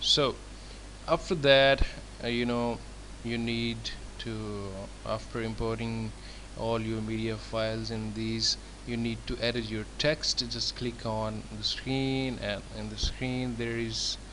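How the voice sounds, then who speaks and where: Audible room echo surrounds a man's speech. He goes at a very slow pace with long, frequent pauses. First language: not English. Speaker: template designer. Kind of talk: tutorial. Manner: halting.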